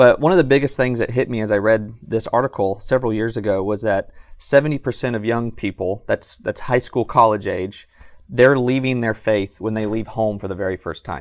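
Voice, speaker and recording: Speaking at a fairly quick pace in a plain, everyday voice, a man with an American accent keeps a medium pitch and ordinary pitch variation. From Southern California. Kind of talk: podcast interview. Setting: live in a bookstore.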